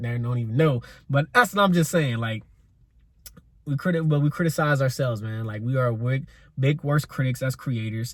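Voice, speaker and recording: This man's voice is somewhat breathy, medium in pitch, with ordinary pitch variation at a fairly quick pace. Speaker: podcast host. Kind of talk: solo podcast monologue. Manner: fast; stumbles over words, slight stutter.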